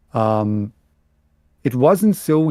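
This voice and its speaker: At a very slow pace, a man speaks at a medium pitch in a dark, mellow tone, the sound dry and close with no echo. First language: German. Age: 40s. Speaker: book youtuber. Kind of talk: casual chat.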